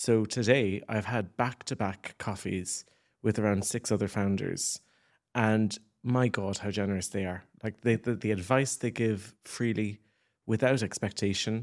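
In a very clean recording with a silent background, a man speaks at a fairly low pitch. He goes at a fairly slow pace with fairly even intonation. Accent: Cork. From Ireland, West Cork. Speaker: communications agency founder. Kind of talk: interview. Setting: studio.

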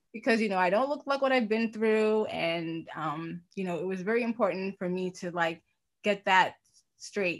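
A plain, everyday voice from a woman, medium in pitch, at a moderate pace with ordinary pitch variation. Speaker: podcast co-host and lung cancer patient. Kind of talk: casual chat.

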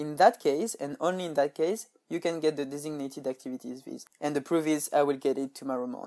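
With a French accent and a dark, mellow tone, the speaker races along at a very fast pace with hardly any pauses. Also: man, fairly high pitch for a man, ordinary pitch variation. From France. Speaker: podcaster and intern. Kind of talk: tutorial.

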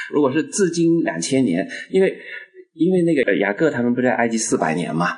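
A man with a fairly high voice talks at a fairly quick clip, his pitch swinging very widely over noticeable background noise. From Guangdong, China. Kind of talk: casual discussion. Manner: halting, repeats words.

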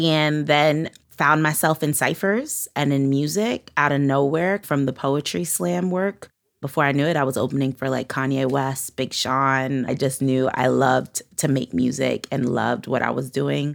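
A woman with a very deep, low pitch, a New York accent, ordinary pitch variation and very even loudness, on a very clean recording with a silent background. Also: moderate pace. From Brooklyn, New York. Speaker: musician and rapper. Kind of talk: interview conversation.

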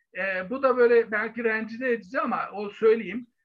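Extremely high pitch marks this man's voice. He talks at a moderate pace. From Turkey, Bursa. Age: 50s. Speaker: historian. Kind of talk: interview. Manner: halting, many fillers.

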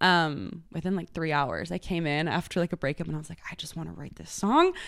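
In a very clean recording with a silent background, the speaker talks very fast with fairly even intonation in an American accent. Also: woman. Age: 20s. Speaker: singer-songwriter. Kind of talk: casual chat.

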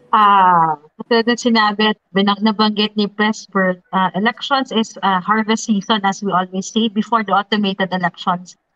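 With a Filipino accent, a woman speaks at a medium pitch and moderate pace, keeping fairly even intonation and very even loudness. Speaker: lawyer, election watchdog leader. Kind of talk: panel discussion.

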